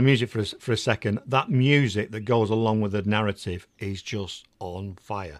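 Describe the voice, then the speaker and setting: A man with an English accent speaks at a fairly low pitch in an enthusiastic tone with ordinary pitch variation. The recording is very clean, with a silent background. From England. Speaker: podcast host. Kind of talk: interview.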